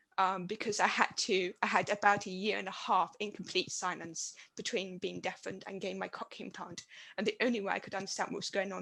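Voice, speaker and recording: In a flat monotone with vocal fry, a woman speaks at a fairly quick pace and a medium pitch. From Britain. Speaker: university administrator and deaf academic. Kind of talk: panel discussion.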